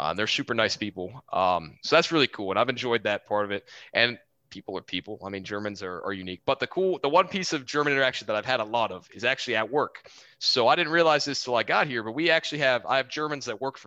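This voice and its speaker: A man with a Texan accent talks very fast at a medium pitch, in an animated, bright, sharp tone with lively intonation. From Houston, Texas. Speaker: Air Force officer, Aggie alumnus. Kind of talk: casual interview chat, storytelling. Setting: video call from Germany. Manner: jokey, animated.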